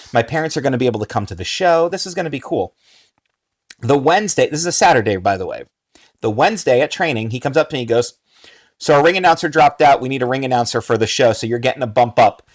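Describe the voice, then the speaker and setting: A man with an American accent talks very fast at a medium pitch, his intonation lively. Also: very clean recording, silent background. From New Jersey. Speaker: wrestling ring announcer. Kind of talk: casual chat.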